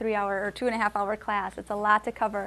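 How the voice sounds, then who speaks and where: A woman with an American accent speaks in a fairly high voice. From Wisconsin, US. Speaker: Spanish teacher. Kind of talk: lecture. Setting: classroom with adult learners. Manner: frequent hesitations with um.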